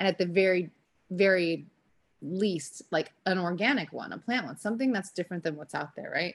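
A woman with a plain, everyday voice speaks at a medium pitch and a moderate pace, with ordinary pitch variation and big swings in loudness. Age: 30s. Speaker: wellness company founder. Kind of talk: casual interview.

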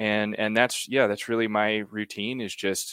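A man's voice, very cleanly recorded against total silence. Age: 30s. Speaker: watch company founder. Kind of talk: interview. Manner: halting.

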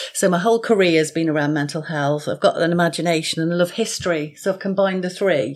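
A woman talks at a very fast pace with hardly any pauses. Her pitch is fairly low and varies in an ordinary way. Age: 50s. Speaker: author and mental health nurse. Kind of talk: podcast interview.

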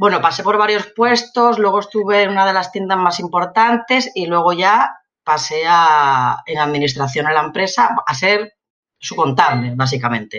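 A woman of medium pitch talks at a moderate pace, her voice making very wide pitch swings. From Spain, Elche (Valencian region). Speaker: single mother, community manager. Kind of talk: interview testimony.

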